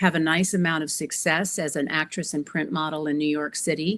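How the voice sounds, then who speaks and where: With a normal speaking voice, a woman talks at a moderate pace and fairly even intonation, recorded very cleanly against a silent background. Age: 60s. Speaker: empowerment coach. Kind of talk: interview.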